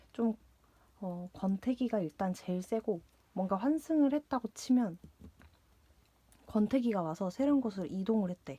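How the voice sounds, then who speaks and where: Speaking at a moderate pace with long, frequent pauses, a woman with a medium-pitched, dark, mellow, somewhat breathy voice is recorded in a dry, close space with no echo. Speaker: tarot reader. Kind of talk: tarot reading. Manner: hesitant, many fillers and repetitions.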